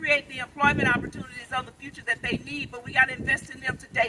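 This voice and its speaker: A woman with a high pitch talks in an animated tone amid noticeable background noise. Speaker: clean energy business founder and activist. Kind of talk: rally speech. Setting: outdoor rally with crowd. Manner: loud.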